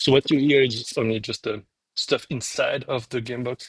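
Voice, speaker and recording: With a French accent, a man speaks at a fairly slow pace and a medium pitch. His intonation is fairly even, and the sound is dry and close with no echo. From France. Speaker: game publisher. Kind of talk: live stream while packing orders. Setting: live stream, alone at work. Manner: casual, halting.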